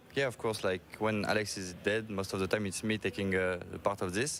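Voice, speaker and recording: Fairly quick, fairly low-pitched man with a French accent and monotone, flat intonation. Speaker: esports player. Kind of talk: interview. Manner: halting.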